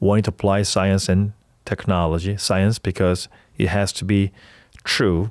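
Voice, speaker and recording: The speaker has a Korean accent and a flat, monotone delivery at a moderate pace, with long, frequent pauses. The sound is dry and close, with no echo. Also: man, fairly low pitch for a man. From South Korea (Seoul). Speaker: startup founder, health tech entrepreneur. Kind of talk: podcast interview. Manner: halting, with self-corrections.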